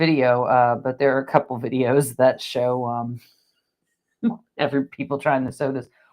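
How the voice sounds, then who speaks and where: A woman speaks with an American accent at a moderate pace, her pitch very deep and low. Her loudness swings widely, with music in the background. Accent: regional US accent merging berry and bury. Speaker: theme park news show co-host. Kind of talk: casual live-stream chat. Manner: animated.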